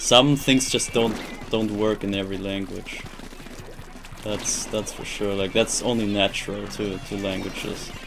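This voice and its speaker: Speaking in a German accent, a man uses a fairly low pitch, fairly even intonation, and a fairly slow pace, with audible room echo and music in the background. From Germany. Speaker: video game streamer. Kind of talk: live stream chat while gaming. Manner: halting, repeats words; flat, robotic.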